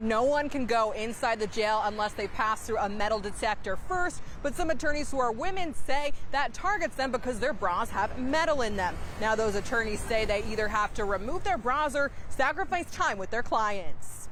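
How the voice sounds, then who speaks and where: Noticeable background noise sits behind a woman with a fairly high pitch. Her intonation is lively and her loudness very even. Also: moderate pace. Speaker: news reporter. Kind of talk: TV news stand-up.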